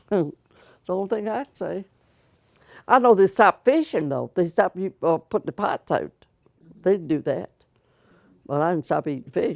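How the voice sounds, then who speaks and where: A woman with an American accent speaks with lively intonation, vocal fry, big swings in loudness and long, frequent pauses. The recording is very clean, with a silent background and a dry, close sound with no echo. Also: medium pitch for a woman, moderate pace. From Virginia, New Kent County. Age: 80s+. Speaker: oral history interviewee. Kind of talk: casual chat.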